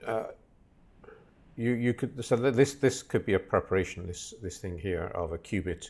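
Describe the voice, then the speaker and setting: A man's somewhat breathy voice at a medium pitch and moderate pace, with ordinary pitch variation and long, frequent pauses. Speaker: lecturer. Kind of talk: lecture. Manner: halting.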